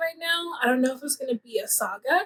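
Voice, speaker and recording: The sound is dry and close, with no echo. A woman talks with lively intonation. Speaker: book youtuber. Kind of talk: casual book review monologue. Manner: casual, lots of filler words.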